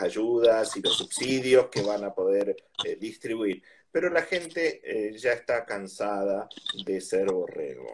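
A man talks in an Argentine accent. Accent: Rioplatense Argentine Spanish. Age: 50s. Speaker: politician. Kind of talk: interview. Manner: hesitant, many fillers.

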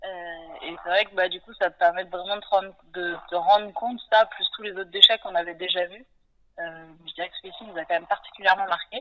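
A woman speaks in a plain, everyday voice at a fairly quick pace. Her intonation stays fairly even while her loudness swings widely. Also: medium pitch for a woman. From western France (Nantes). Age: 30s. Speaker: sailor and ocean conservation project founder. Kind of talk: interview.

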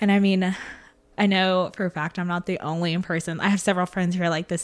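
Speaking at a very fast pace, a woman uses lively intonation at a medium pitch. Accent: Southern US. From West Tennessee. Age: 20s. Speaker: event coordinator. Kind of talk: casual chat.

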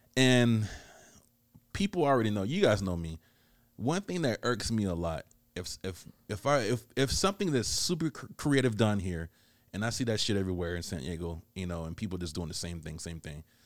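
Here is a man with an unremarkable speaking voice. His intonation is lively. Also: fairly low pitch for a man, fairly quick pace. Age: 30s. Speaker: podcast host. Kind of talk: casual chat. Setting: studio.

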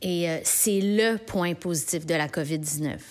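The speaker talks very slowly with a Quebec accent. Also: woman. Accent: Québécois French. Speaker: podcast columnist. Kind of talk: comedic monologue. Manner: animated.

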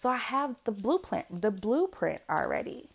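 A woman speaks with lively intonation in a very clean recording with a silent background. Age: 30s. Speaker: podcast host and homeschooling parent. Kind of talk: solo voice journal monologue. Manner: casual, unscripted.

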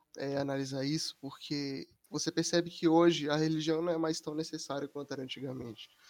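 A man with an ordinary speaking voice, fairly high in pitch, fairly quick in pace and fairly even in intonation. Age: 19. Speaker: university student. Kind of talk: casual chat.

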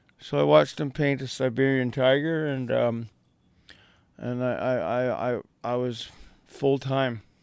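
A man with a Canadian accent speaks at a medium pitch with ordinary pitch variation. He leaves long, frequent pauses. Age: 50s. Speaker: airbrush artist and muralist. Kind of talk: casual interview. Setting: radio studio.

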